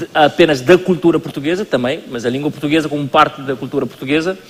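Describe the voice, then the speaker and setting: Noticeable background noise surrounds a man's voice. He talks fairly quickly at a fairly high pitch. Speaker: culture minister. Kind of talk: panel discussion. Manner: halting.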